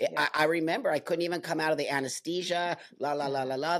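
Speech rushes by at a very fast pace against noticeable background noise. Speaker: podcast host. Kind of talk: casual interview.

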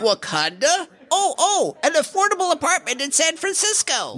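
The voice is extremely high in pitch and moves at a moderate pace. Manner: cheerful, salesy.

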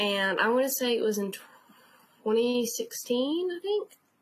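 This woman has a high-pitched voice with a Southern US accent. Her intonation is lively. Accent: noticeable Southern. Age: 20s. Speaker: convention fan. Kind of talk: casual interview.

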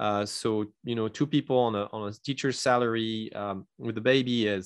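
A man with a French accent speaks with fairly even intonation against a quiet background. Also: dry, close sound with no echo. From France. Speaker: entrepreneur and consultant. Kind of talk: interview. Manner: halting, many repetitions.

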